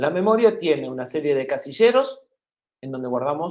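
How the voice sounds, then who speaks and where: With an Argentine accent, a man speaks with vocal fry and very wide pitch swings. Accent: Argentine Spanish (voseo). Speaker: university lecturer. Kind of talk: lecture.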